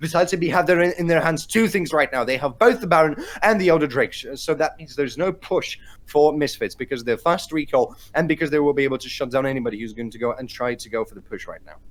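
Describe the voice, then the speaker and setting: With a fairly high pitch, a man talks at a very fast pace in an animated tone, his intonation lively and his loudness swinging widely. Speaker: esports caster. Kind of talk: live commentary.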